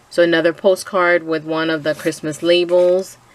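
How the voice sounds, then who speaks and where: At a moderate pace, a woman speaks in a fairly low pitch over noticeable background noise. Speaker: crafter sharing a design team project. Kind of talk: craft tutorial walkthrough. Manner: hesitant with frequent fillers.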